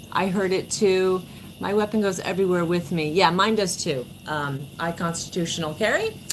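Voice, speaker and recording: Moderately paced speech from a woman with an American accent at a medium pitch, over noticeable background noise. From New York (born New Jersey). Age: 40s. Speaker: livestreamer. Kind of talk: casual livestream chat. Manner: animated.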